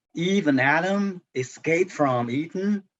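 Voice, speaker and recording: The speaker is a man with a non-native accent. He uses ordinary pitch variation. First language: Chinese. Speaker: translator. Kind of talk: book club discussion. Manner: halting, many fillers and repetitions.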